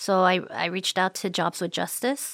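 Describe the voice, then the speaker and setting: A woman with an American accent speaks at a fairly slow pace and a medium pitch. The recording is very clean with a silent background and a dry, close sound with no echo. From Oregon, US. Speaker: immigrant rights activist and teacher. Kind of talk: interview testimony. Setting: church space used as studio. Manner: hesitant with fillers.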